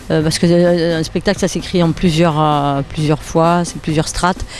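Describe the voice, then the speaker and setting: A woman with a Nice accent talks over noticeable background noise. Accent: southern French, Nice. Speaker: comedian. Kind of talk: interview answer.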